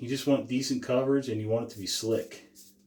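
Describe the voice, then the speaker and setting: A man mumbles. His voice is quiet. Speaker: shaving channel host. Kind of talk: casual tutorial. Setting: small room, talking to camera.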